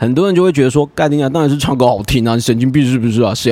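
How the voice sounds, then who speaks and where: A man speaks in an animated tone with a Taiwanese accent. His medium pitch carries lively intonation. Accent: Taiwanese Mandarin. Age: 30s. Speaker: podcast host. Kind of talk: casual monologue.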